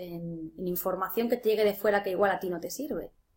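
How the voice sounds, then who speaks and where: This is a normal speaking voice at a fairly quick pace, with ordinary pitch variation. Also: woman. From Spain, Ciudad Real. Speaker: life coach and tarot reader. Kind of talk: interview.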